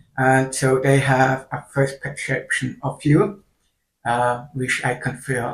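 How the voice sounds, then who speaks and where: A man talks very slowly in a somewhat breathy voice. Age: 30s. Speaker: video creator with hearing loss and kidney failure. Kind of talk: personal vlog monologue. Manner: halting.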